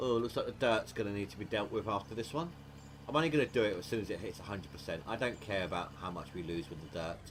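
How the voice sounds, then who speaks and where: The voice is somewhat breathy and races along at a very fast pace. Its pitch swings very wide. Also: man, fairly low pitch for a man. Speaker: gaming livestreamer. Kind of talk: casual livestream chat. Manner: stuttering.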